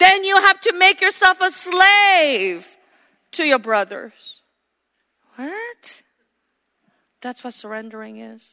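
A woman speaks in a raised, projected voice at an extremely high pitch, with a bright, sharp tone. Her pitch swings very widely, and her pace is very slow, with long, frequent pauses. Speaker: preacher. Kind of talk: sermon. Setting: church.

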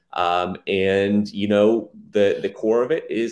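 This man has an ordinary speaking voice with a fairly low pitch. His intonation stays fairly even. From Texas, Dallas area. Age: 20s. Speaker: software entrepreneur. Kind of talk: interview.

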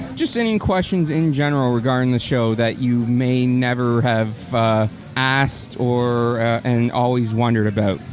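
A man with a medium-pitched voice speaks at a moderate pace with hardly any pauses. His loudness stays very even over noticeable background noise. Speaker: podcast host. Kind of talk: casual chat, live-streamed podcast. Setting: live stream recorded for podcast.

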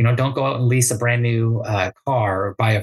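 The sound is dry and close with no echo as a man speaks at a medium pitch. He goes at a fairly quick pace and sounds somewhat breathy. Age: 30s. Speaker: real estate investor. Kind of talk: interview.

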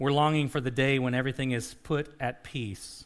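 In an ordinary speaking voice, a man talks at medium pitch and a moderate pace with fairly even intonation. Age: 40s. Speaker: pastor. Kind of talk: sermon.

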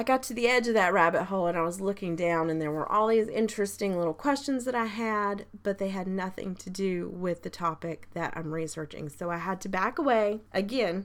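At a fairly quick pace with few pauses, a woman talks at a medium pitch with ordinary pitch variation.

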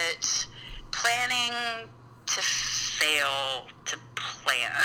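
A woman speaks with an American accent and lively intonation. Noticeable background noise is present. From Utah. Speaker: mother, podcast guest. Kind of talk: casual chat.

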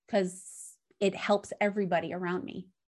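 At a fairly slow pace, a woman talks at a medium pitch. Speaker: motivational speaker and intuitive guide. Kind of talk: casual interview, storytelling. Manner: loud, animated, swears a lot.

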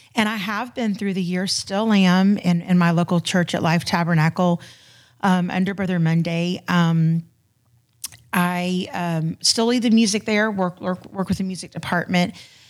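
A woman with an American accent speaks in an ordinary speaking voice at a medium pitch. Her intonation is fairly even and her pace moderate. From Florida. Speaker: church ministry volunteer. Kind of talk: casual chat.

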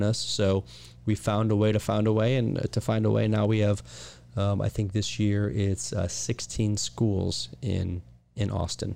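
Here a man talks in an American accent at a fairly low pitch. His tone is dark and mellow, with ordinary pitch variation. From Ohio, US Midwest. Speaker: school founder and educator. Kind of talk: interview.

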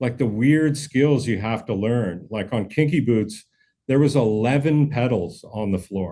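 Speaking with a Canadian accent and an unremarkable speaking voice, a man talks at a fairly slow pace, with medium pitch and ordinary pitch variation. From Canada, Manitoba (Brandon). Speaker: session drummer. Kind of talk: casual interview chat.

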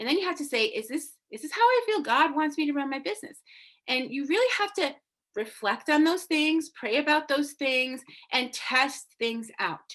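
With an American accent, a woman speaks at a moderate pace and a high pitch. Her pitch swings very widely. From Massachusetts, US. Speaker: business coach and podcast host. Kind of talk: coaching talk from a recorded live video. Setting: livestream. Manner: animated.

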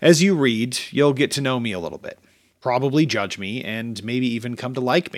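The loudness swings widely while the pitch variation stays ordinary. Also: man, medium pitch for a man, moderate pace. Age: 30s. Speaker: podcast host and author. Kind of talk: reading aloud. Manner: casual.

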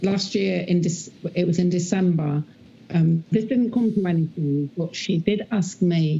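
A woman speaks at a fairly slow pace, fairly low in pitch with ordinary pitch variation. Her tone is dark and mellow, with a slightly husky edge and vocal fry.

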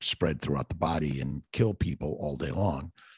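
A man's American accent with vocal fry and lively intonation at a moderate pace, in a dry, close sound with no echo. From Los Angeles, US West Coast. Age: 60s. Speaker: physician. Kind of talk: interview.

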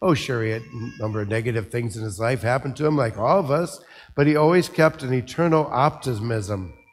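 A man with an American accent at medium pitch, fairly quick and lively in intonation, with music in the background. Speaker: priest giving a homily. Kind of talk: homily at Mass, with a reflective eulogy-style tribute to a deceased priest friend. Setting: church, speaking to a congregation.

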